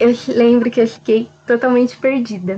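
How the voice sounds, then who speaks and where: Her voice is an ordinary speaking voice, pitched fairly high for a woman. She talks at a moderate pace. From Jundiaí, São Paulo state, Brazil. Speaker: documentation assistant. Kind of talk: interview testimony.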